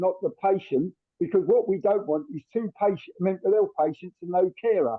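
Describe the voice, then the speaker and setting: A man with a London accent speaks at a fairly quick pace. His pitch is high. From South London. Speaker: carers' consultant, audience member. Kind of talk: audience question in webinar.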